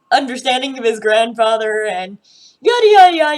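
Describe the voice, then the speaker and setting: A woman speaks at a moderate pace in an ordinary speaking voice with a fairly high pitch. Her intonation is lively. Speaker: TV show reaction youtuber. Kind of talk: casual video commentary.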